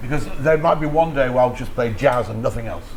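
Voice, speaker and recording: A man's lively intonation amid audible room echo and noticeable background noise. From Yorkshire, northern England. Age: 60s. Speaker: radio DJ. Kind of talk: casual interview chat. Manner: animated.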